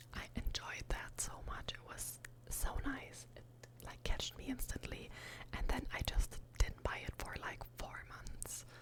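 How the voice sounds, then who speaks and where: Whispering at a fairly slow pace, a woman's voice swings widely in loudness over noticeable background noise. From Germany. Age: 20s. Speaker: ASMR creator. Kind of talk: ASMR whisper ramble about books. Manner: whispered, soft-spoken.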